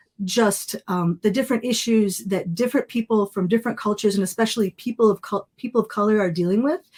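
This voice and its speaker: On a very clean, dry, close recording with a silent background and no echo, a somewhat breathy voice with ordinary pitch variation races along at a very fast pace with hardly any pauses. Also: woman, fairly high pitch for a woman. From US, multicultural Lebanese-American family. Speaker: photographer and documentary filmmaker. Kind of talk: podcast interview.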